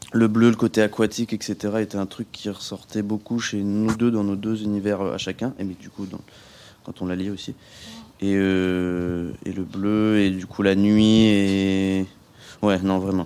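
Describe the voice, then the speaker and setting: Speaking at a very slow pace, a man delivers his words in a monotone, flat intonation with a dark, mellow tone. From Normandy, France. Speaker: musician. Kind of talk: radio interview.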